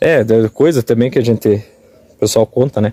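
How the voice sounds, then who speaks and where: There is no echo, and the sound is dry and close. Intonation varies only a little, staying fairly even. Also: man. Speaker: rural tourism video host. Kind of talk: interview questions. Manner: casual, conversational.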